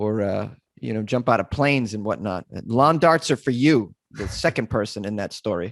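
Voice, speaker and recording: With an American accent, a man at a fairly low pitch speaks at a moderate pace and with lively intonation. The sound is dry and close, with no echo. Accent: Boston accent, comes out when drunk. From US Northeast, Massachusetts (Boston area). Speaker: comedian and podcaster. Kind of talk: casual podcast interview. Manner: animated, joking.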